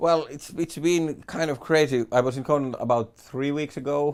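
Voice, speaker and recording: Speaking with a Finnish accent, a man uses ordinary pitch variation. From Finland. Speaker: stand-up comedian. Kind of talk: interview.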